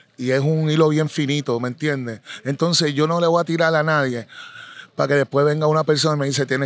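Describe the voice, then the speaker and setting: A plain, everyday voice from a man, fairly high-pitched, fairly quick and fairly even in intonation, with a dry sound with no echo and light background noise. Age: 40s. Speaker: reggaeton artist; interviewee. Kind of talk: interview. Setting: live event venue. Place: open country. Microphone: handheld.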